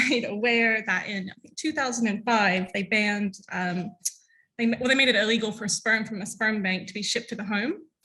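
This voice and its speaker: A woman's fairly high voice, bright and sharp in tone. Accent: American. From US South. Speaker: LGBTQ+ content creator and activist. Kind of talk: conference talk.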